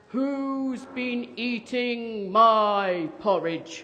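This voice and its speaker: The speaker uses a gruff, put-on character voice at a fairly high pitch. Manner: grumpy, unhappy.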